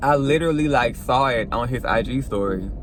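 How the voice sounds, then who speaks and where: With music in the background and audible room echo, a man with an American accent speaks at a moderate pace. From US South, Mississippi. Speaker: vlogger and aspiring model. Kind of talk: casual vlog chat. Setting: in a car. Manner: animated.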